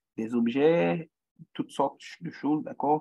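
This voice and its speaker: A man speaks in a Haitian accent at a high pitch. His tone is dark and mellow. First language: Haitian Creole (speaking French). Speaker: guest lecturer in social psychology. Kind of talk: lecture. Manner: halting, many repetitions and fillers.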